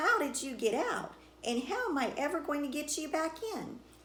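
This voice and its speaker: A gruff, growling put-on character voice from a woman, high in pitch with very wide swings, at a moderate pace over clear background noise. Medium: read story.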